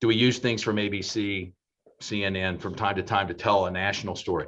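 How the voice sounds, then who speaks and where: A man's plain, everyday voice, fairly low in pitch, with fairly even intonation at a moderate pace against a quiet background. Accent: American. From Oklahoma. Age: 60s. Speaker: television station general manager. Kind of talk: panel discussion.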